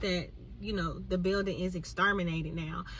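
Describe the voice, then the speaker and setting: Some room reverberation colors a woman's voice. Clear noise runs in the background. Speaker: vlogger. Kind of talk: casual chat.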